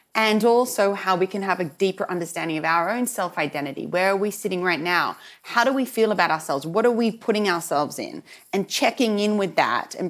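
This speaker has an Australian accent and lively intonation. The pace is fairly quick. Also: woman. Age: 40s. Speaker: television journalist and fashion entrepreneur. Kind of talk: interview conversation.

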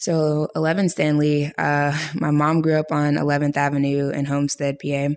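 Over noticeable background noise, a woman with a very deep, low pitch speaks at a moderate pace in a monotone, flat intonation and very even loudness. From US, Pittsburgh, Pennsylvania. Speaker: photographer and filmmaker. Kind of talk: casual interview.

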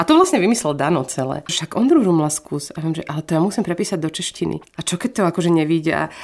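Her pitch is fairly low for a woman, with ordinary variation. She talks at a very fast pace with hardly any pauses. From Slovakia. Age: 40s. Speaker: singer. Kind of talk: casual chat.

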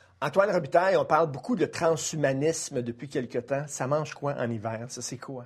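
Somewhat breathy male speech at fairly high pitch and moderate pace, with hardly any pauses, big swings in loudness and ordinary pitch variation. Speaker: radio host. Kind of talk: panel discussion.

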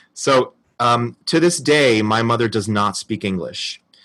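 With an American accent, a man speaks in a plain, everyday voice at medium pitch with ordinary pitch variation against a quiet background. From New Jersey. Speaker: actor. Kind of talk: recorded personal story.

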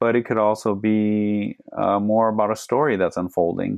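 In an American accent, an unremarkable speaking voice moves with fairly even intonation. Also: man. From Phoenix, Arizona. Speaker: medical doctor. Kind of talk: interview conversation.

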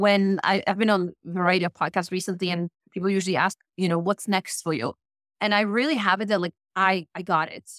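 A woman with a Polish accent speaks at a fairly quick pace and a medium pitch, her intonation fairly even, in a dry, close sound with no echo on a very clean recording over a silent background. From Poland. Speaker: life performance coach. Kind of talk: interview conversation.

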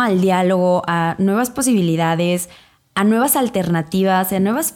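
The recording is very clean, and the background is silent. A woman speaks at a fairly slow pace. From Mexico, Irapuato, Guanajuato. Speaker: podcast co-host, pro-life feminist activist. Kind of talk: casual interview.

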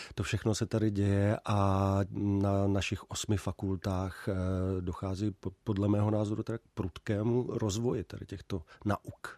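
A man's fairly low, dark, mellow voice at a fairly slow pace, monotone and flat, dry and close with no echo over a quiet background. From Czech Republic, South Moravia. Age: 40s. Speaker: film historian and university professor. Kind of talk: radio interview. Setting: radio studio.

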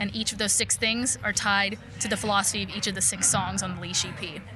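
Over music in the background, a woman of medium pitch talks at a very fast pace. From Poland. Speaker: singer. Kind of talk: interview. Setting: in person at music event.

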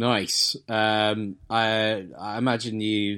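This is a man speaking with an English accent on a very clean recording against a silent background. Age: 30s. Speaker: beer podcast co-host. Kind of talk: casual chat.

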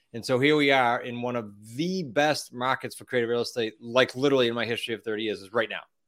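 With a Boston accent, a man at a medium pitch speaks at a very fast pace, his intonation fairly even and his loudness swinging widely. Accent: Boston-area New England. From Massachusetts, US. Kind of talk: interview, casual chat.

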